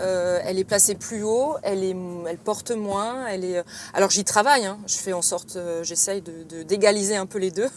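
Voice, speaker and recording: A woman speaks at a medium pitch with ordinary pitch variation over noticeable background noise. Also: moderate pace. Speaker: actress. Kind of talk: interview. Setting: in a car.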